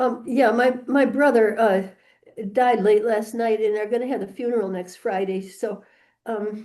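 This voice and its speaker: Fairly high female voice, dark and mellow in tone. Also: fairly even intonation, moderate pace. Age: 70s. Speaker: landlord in eviction case. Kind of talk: court hearing. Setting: video call from courthouse computer. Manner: halting.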